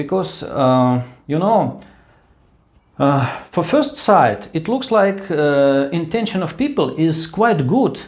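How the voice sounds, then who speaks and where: Speaking very slowly, a man with a Russian accent uses a fairly high pitch that swings very widely. The room gives audible echo. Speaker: vlogger. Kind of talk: casual monologue. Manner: halting.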